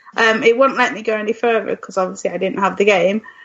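This woman has a normal speaking voice, a fairly high pitch, and fairly even intonation. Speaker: podcast co-host. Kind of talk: casual chat.

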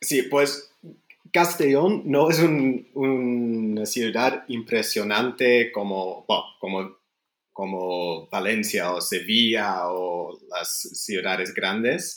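In a Flemish accent, a man speaks very slowly at a medium pitch, his intonation lively. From English-speaking Canada. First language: Flemish (speaking Spanish). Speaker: English teacher and writer. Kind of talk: casual interview. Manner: halting.

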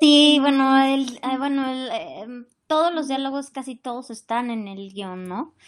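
The speech moves at a fairly slow pace with ordinary pitch variation and big swings in loudness. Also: woman, high pitch for a woman. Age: 40s. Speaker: actress. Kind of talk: interview.

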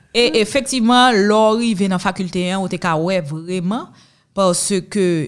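Lively in intonation, a woman talks in a plain, everyday voice at a medium pitch. The recording is very clean, with a silent background. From Haiti. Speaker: lawyer and entrepreneur. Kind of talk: interview.

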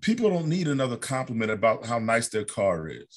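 Using a plain, everyday voice, a man with an American accent talks at medium pitch and moderate pace with lively intonation. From Ohio, US Midwest. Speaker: documentary filmmaker. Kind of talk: casual chat.

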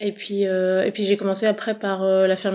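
A woman's voice sits at a medium pitch and carries a dark, mellow tone. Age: 40s. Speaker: farmer. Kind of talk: interview. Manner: halting.

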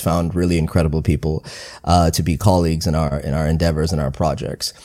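In a very clean recording with a silent background, a man with a dark, mellow tone talks at a fairly quick pace. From Southeast Asia (Philippines, Thailand, Singapore). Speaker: record label founder. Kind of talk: interview conversation.

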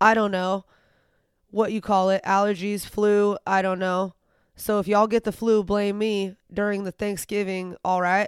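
A woman's medium-pitched voice with a slight Southern US accent at a moderate pace, on a very clean recording with a silent background. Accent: slight Southern twang. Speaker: podcast co-host. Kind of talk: casual chat. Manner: animated.

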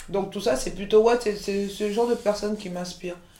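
Fairly high in pitch and fairly quick in pace, a woman's voice comes through audible room echo and noticeable background noise. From France, Paris region (Montreuil), born in Côte d'Ivoire. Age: 40s. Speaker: chef and caterer, entrepreneur. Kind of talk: interview, casual chat.

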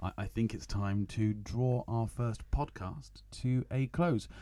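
At a very slow pace, a man with a southern English accent speaks in a dark, mellow tone at a fairly low pitch with ordinary pitch variation, on a very clean recording with a silent background. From Kent, southern England. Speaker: podcast host for English learners. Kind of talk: casual chat. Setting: studio.

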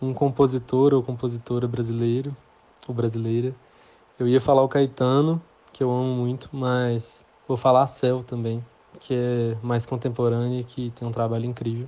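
A man's medium-pitched voice at a moderate pace, flat and monotone in intonation. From Belo Horizonte, Minas Gerais, Brazil. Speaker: singer-songwriter. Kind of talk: interview.

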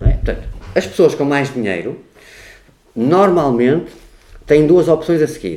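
A man at a fairly high pitch and moderate pace, with very wide pitch swings. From Portugal, Porto. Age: 50s. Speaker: political researcher and party official. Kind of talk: interview conversation. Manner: talkative.

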